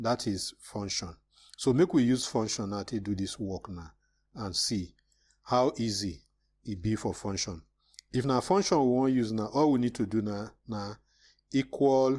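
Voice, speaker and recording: A man with a normal speaking voice talks at a fairly slow pace and medium pitch, with ordinary pitch variation, on a very clean recording with a silent background. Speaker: Excel tutor. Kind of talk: screen-recorded software tutorial. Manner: casual, conversational.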